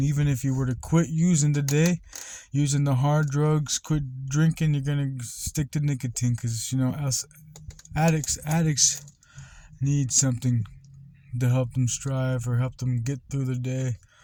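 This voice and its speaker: Somewhat breathy, a man's voice sits fairly high, with a dark, mellow tone. His intonation stays fairly even. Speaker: vlogger. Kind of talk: casual monologue.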